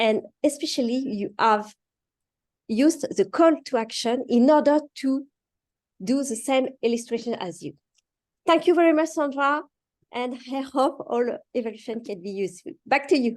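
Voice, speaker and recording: Speaking in a French accent, a woman has a high pitch with ordinary variation. She keeps a moderate pace but leaves long, frequent pauses. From France. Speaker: speech evaluator. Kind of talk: speech evaluation. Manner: halting.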